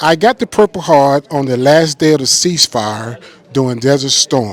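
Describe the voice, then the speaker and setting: Amid noticeable background noise, a man talks at a fairly high pitch with ordinary pitch variation, in a dry, close sound with no echo. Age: 60s. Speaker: war veteran. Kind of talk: testimony.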